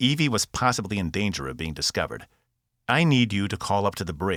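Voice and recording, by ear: The background is quiet as a person reads aloud in a natural voice.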